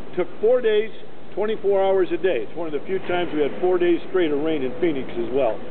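A man speaks with very wide pitch swings. Light background noise can be heard. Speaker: stadium tour guide. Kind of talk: guided tour talk to a group, explaining facts and figures. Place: stadium.

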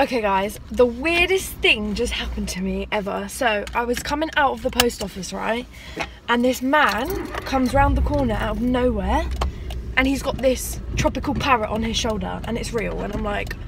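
At a moderate pace, a woman speaks over noticeable background noise, with a dry sound and no echo. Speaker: vlogger. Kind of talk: casual vlog chat. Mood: chatty, amused. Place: car. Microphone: phone near.

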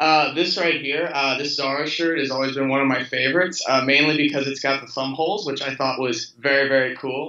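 A man with an American accent talks at a fairly quick pace with hardly any pauses. His pitch is fairly high and his intonation fairly even, with audible room echo. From Louisville, Kentucky, USA. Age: 20s. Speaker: fashion model. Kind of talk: interview answer. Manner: casual, relaxed. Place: home room. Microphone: video call.

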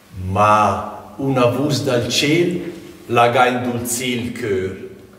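Very slow pace from a man with ordinary pitch variation, audible room echo around him. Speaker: amateur stage actor. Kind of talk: dialect poetry narration. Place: home room.

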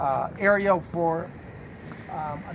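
A man speaks over loud background noise. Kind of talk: casual tour chat. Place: office.

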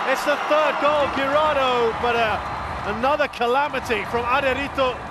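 A man's raised, projected voice, animated and excited, at an extremely high pitch amid noticeable background noise. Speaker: football commentator. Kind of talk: live sports commentary on a football match, analysing play and goals. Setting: commentary over match footage with replays. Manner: animated, quick-fire play-by-play with excited exclamations at goals; critical, judging the goalkeeper's errors with dry disappointment.

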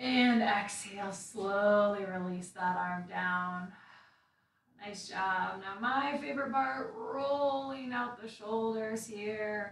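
A somewhat breathy woman at a very slow pace, with ordinary pitch variation and audible room echo. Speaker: meditation instructor. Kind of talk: guided meditation and gentle movement class, calm and instructive. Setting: video livestream to online audience. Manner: calm, soothing, slow-paced; casual, chatty with filler words in intro. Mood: calm, soothing. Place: home room. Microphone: camera far.

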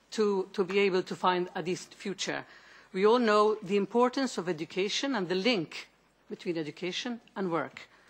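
A woman with a Maltese accent at a moderate pace, with ordinary pitch variation. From Malta. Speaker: member of European Parliament. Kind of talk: committee hearing question. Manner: halting. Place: meeting room. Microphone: podium.

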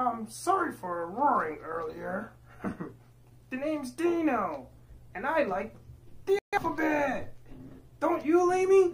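A high-pitched cartoonish character voice moves through very wide pitch swings at a fairly slow pace, with light background noise. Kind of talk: children's puppet show dialogue. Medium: puppet show. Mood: friendly apologetic.

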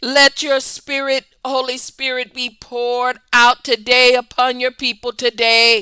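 A woman with a high pitch and a bright, sharp tone speaks at a fairly slow pace in a flat monotone, with hardly any pauses. The sound is dry and close with no echo. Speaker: prayer broadcaster. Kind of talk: fervent prayer, speaking in tongues and loud intercession. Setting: online broadcast, addressing viewers. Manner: impassioned, rhythmic, fervent; repetitive call-and-response exhortation.

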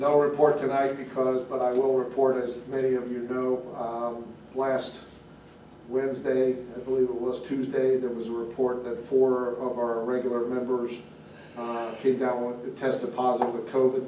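Monotone, flat speech comes at a moderate pace with audible room echo and light background noise. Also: man. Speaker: township official giving fire department report. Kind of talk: meeting report. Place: meeting room. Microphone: camera far.

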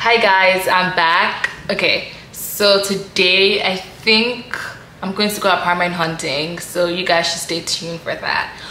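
Over light background noise, a woman speaks at a fairly slow pace with fairly even intonation, and the room echo is audible. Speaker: vlogger. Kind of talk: casual vlog chat. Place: home room. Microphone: phone near.

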